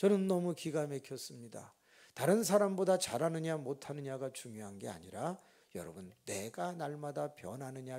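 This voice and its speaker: The man's voice sits fairly high in pitch and has a dark, mellow tone. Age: 60s. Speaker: pastor. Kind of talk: sermon. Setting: church. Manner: slow.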